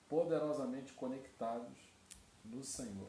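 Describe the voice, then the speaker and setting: Soft-spoken, a man talks with ordinary pitch variation. Room echo is audible, and there is noticeable background noise. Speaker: pastor. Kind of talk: sermon. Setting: online livestream. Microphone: too quiet, basic equipment.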